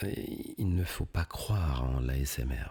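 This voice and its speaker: A soft-spoken man whispers at a very slow pace in a calm tone that is somewhat breathy. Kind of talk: ASMR talk to camera. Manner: soft-spoken, between whisper and normal voice; slow, calm.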